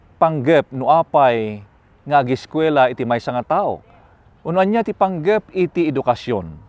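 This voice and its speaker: Speaking at a fairly slow pace, a man swings very widely in pitch, and the sound is dry with no echo. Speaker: pastor. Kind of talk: sermon. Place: forest.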